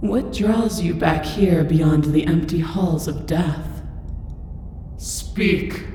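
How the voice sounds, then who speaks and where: Using a booming, put-on character voice pitched fairly low, a woman speaks very slowly with long, frequent pauses and a strong echo. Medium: video game. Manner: commanding, condescending.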